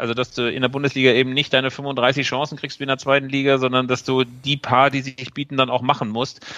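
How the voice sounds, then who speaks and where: This man talks at a medium pitch and a fairly quick pace, his intonation monotone and flat. His tone is bright and sharp. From Bielefeld, Germany. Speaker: football magazine editor. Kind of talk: casual chat.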